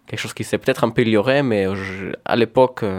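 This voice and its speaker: Keeping his intonation fairly even, a man speaks with a Hebrew accent. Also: very clean recording, silent background. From Israel. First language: Hebrew (speaking French). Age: 20s. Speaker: painter and comic artist. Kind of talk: radio interview. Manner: halting.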